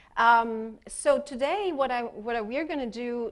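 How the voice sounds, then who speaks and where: In an Italian accent, a woman speaks at a fairly slow pace and a fairly high pitch. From Italy. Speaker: expressive arts therapist. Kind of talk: workshop presentation. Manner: halting, many fillers.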